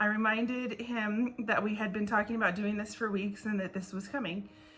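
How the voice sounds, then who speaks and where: A woman speaks very rapidly while obvious background noise goes on behind her. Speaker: school administrator. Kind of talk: class assignment video reflection. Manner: fast.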